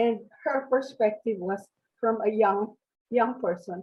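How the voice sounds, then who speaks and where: A woman's fairly high, somewhat breathy voice at a fairly slow pace, with ordinary pitch variation. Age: 80s+. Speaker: retired teacher, seminar participant. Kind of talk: group discussion sharing. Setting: video call.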